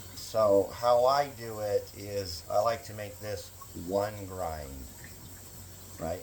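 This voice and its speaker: Through noticeable background noise, a man speaks at a fairly low pitch with ordinary pitch variation. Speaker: knapping craftsman demonstrating tools. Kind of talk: tutorial. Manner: loud; halting, many fillers.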